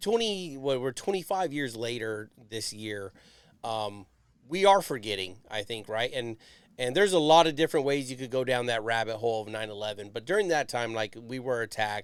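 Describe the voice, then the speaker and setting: Speaking in a normal speaking voice at medium pitch, a man moves at a fairly quick pace with lively intonation on a very clean recording with a silent background. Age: 40s. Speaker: podcast host, Navy veteran. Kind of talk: casual interview.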